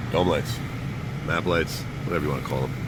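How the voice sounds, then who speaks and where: Noticeable background noise runs under this recording. A man does the talking. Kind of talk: casual how-to talk to camera. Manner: casual, offhand.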